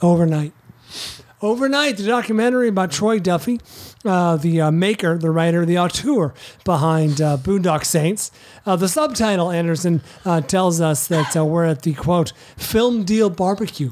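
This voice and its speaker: The voice moves at a moderate pace with lively intonation. Its loudness stays very even. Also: man, high pitch for a man. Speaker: podcast host. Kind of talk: casual chat.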